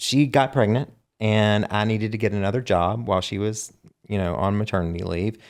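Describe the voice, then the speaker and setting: Fairly quick in pace, a man with a Southern US accent speaks in a fairly low voice with ordinary pitch variation, recorded very cleanly over a silent background. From US South. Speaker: songwriter and singer. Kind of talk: casual chat.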